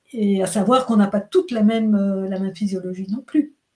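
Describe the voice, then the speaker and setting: Fairly high in pitch and somewhat breathy, a woman speaks with ordinary pitch variation. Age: 60s. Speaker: menopause health practitioner. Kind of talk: interview.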